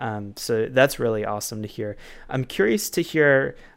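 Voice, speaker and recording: This is a plain, everyday voice at a moderate pace, with ordinary pitch variation. The recording is very clean, with a silent background. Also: man. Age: 20s. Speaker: podcast host and author. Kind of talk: interview.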